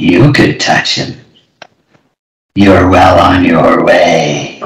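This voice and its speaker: A man speaks very slowly in a put-on character voice, raspy and fairly low-pitched. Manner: creepy.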